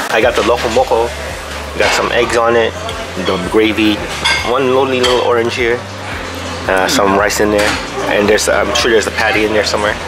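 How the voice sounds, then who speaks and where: Fairly quick speech from a man over clear music in the background. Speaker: food vlogger. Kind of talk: casual vlog chat. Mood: cheerful, laughing. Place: cafe. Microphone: phone near.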